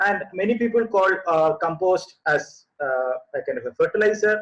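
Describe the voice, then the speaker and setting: A man's high voice with a Keralan accent and lively intonation. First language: Malayalam. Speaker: composting expert. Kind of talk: webinar presentation. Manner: halting, many fillers.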